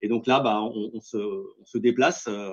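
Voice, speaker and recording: A man is speaking. His pitch rises and falls in an ordinary way. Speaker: company representative pitching 3D printing solutions. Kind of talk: business pitch in webinar. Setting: webinar. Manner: fast; hesitant, many fillers.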